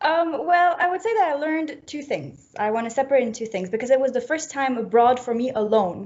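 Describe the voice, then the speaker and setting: A woman with a French accent speaks at a high pitch with lively intonation. She goes at a fairly quick pace with hardly any pauses. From French-speaking Switzerland, near Geneva. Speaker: fashion graduate. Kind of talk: interview.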